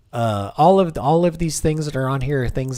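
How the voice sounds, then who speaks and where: Noticeable background noise behind a man speaking fairly quickly. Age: 40s. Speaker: gaming streamer. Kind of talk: casual live stream chat. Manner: halting, with many repetitions and fillers.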